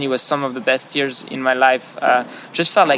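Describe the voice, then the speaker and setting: A man with a French accent at a moderate pace, amid noticeable background noise. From France. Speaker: business founder. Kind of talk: interview. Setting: outdoors beside padel courts. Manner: hesitant, many fillers and repetitions.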